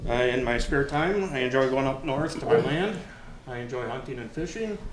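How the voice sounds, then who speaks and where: Noticeable background noise and audible room echo surround a man's voice. He speaks at a medium pitch and a moderate pace with ordinary pitch variation. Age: 50s. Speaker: election candidate. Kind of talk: candidate forum answer.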